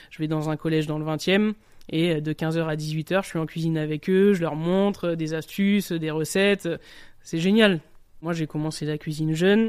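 On a very clean recording with a silent background, a man with an unremarkable speaking voice talks at a moderate pace, fairly high in pitch and with fairly even intonation. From southern France, Nice. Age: 30s. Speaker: chef. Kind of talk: interview testimony. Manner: casual, colloquial.

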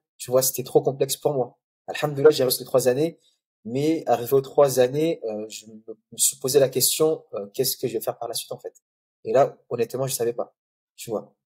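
A man's somewhat breathy voice, dark and mellow in tone, fairly quick, with fairly even intonation and big swings in loudness. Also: medium pitch for a man. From Comoros (Grande Comore), then Mayotte. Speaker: mosque photographer and project founder. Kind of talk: podcast interview. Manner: calm, hesitant with many fillers.

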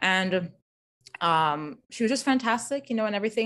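Against a quiet background, a woman with an ordinary speaking voice speaks with lively intonation. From US. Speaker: English professor. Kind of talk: interview answers.

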